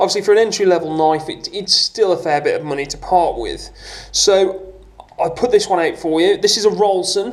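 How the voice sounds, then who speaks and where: Against noticeable background noise, a man with a high pitch speaks at a moderate pace with ordinary pitch variation. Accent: British. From UK. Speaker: outdoors YouTuber. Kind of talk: product review tutorial. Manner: casual, with hesitations.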